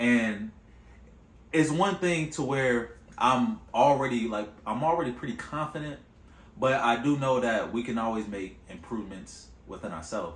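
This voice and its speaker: Speech comes at a moderate pace. Audible room echo surrounds it. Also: man. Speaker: vlogger. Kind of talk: casual monologue to camera. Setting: on camera.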